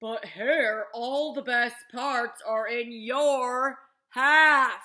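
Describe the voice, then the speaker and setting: A female-sounding voice in a put-on character voice speaks at a very slow pace. The pitch is high for a woman. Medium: read story.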